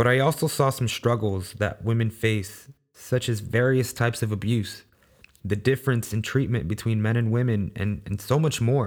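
This man has an unremarkable speaking voice with an American accent, medium pitch, fairly even intonation and a moderate pace, on a very clean recording with a silent background. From Los Angeles, US (South Central), Salvadoran family. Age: 20s. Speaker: podcast host. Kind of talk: solo monologue podcast.

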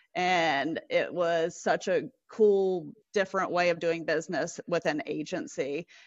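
In a South Carolina accent, a woman speaks fairly slowly at a fairly low pitch, with ordinary pitch variation and very even loudness. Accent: Southern US (South Carolina). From US South. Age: 30s. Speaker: telecom industry professional. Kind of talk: casual interview.

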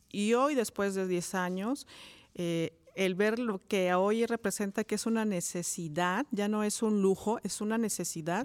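In a very clean recording with a silent background, a woman talks at a fairly slow pace. She has a normal speaking voice, medium in pitch, with ordinary pitch variation. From Mexico, Cuautla, Morelos. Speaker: education professor. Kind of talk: interview. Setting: studio.

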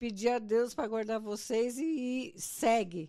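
A woman's dark, mellow tone at a fairly high pitch, very slow pace. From Brazil. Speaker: mother-in-law of host. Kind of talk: casual chat, life story.

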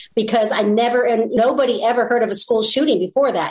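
A woman with an American accent speaks at a very fast pace and a fairly high pitch. Her pitch varies in an ordinary way over noticeable background noise. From California. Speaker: blogger and ministry leader. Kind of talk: casual interview chat.

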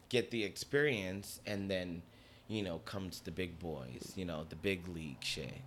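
Using lively intonation and vocal fry, a man with an American accent speaks at a fairly slow pace with a very deep, low pitch. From Newark, New Jersey. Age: young. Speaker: dancer and choreographer. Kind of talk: casual chat. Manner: animated.

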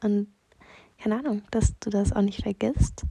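A woman talks at a medium pitch. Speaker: personal voice message sender. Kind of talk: personal voice message. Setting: lying on bed in her room. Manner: halting.

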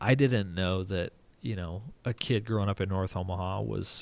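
A man with an American accent and an unremarkable speaking voice, pitched fairly low, with ordinary pitch variation and a moderate pace, on a very clean recording against a silent background. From rural Nebraska. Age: 30s. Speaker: sports journalist. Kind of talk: casual interview.

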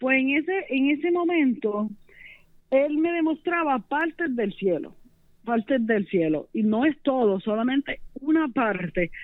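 In a Puerto Rican accent, a high-pitched woman speaks at a fairly slow pace with very wide pitch swings and very even loudness. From Puerto Rico, Las Piedras. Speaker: religious testimony guest. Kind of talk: testimony.

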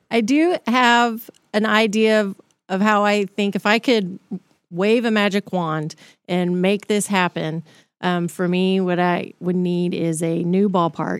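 A woman with a medium pitch and ordinary pitch variation speaks at a fairly slow pace with very even loudness. The sound is dry and close with no echo, in a very clean recording with a silent background. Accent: Texan. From Texas, Dallas area. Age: 40s. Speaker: city mayor. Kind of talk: casual interview.

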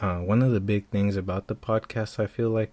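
A man speaks at a fairly quick pace in a dark, mellow tone. The recording is very clean with a silent background and a dry, close sound with no echo. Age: 30s. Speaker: podcast host. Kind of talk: casual monologue. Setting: home room. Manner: casual, halting with fillers.

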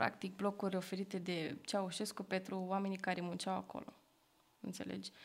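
A woman with vocal fry talks at a moderate pace, her medium pitch carried in fairly even intonation. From Bucharest, Romania (Berceni). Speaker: podcast host, art student. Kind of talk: casual chat.

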